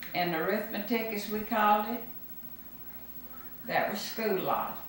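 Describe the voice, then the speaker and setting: With a Mississippi accent, a woman speaks at a fairly high pitch and fairly slow pace with ordinary pitch variation, audible room echo and noticeable background noise. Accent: Southern US (Mississippi). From US South, Mississippi Gulf Coast. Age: 80s+. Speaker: grandmother interviewed for school project. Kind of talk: oral history interview.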